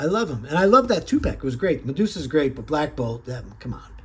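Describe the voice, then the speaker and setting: This man's intonation is lively. There is a somewhat breathy quality to his voice. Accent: American. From upstate New York. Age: 60s. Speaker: toy collector reviewer. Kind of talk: casual product review. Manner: animated.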